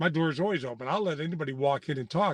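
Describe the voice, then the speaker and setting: A man's high voice at a very fast pace, with very wide pitch swings, a quiet background, and a dry, close sound with no echo. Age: 60s. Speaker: nonprofit CEO. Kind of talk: interview.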